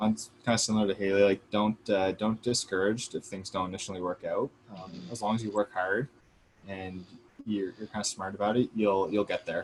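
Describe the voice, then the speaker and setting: The speech comes at a fairly quick pace in a flat monotone. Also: man, fairly low pitch for a man. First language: not English. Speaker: university alumnus panelist. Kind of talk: panel Q&A advice.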